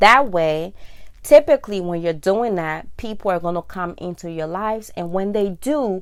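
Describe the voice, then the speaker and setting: An ordinary speaking voice at a moderate pace, with lively intonation and big swings in loudness. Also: woman, medium pitch for a woman. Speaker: vlogger. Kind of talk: casual monologue.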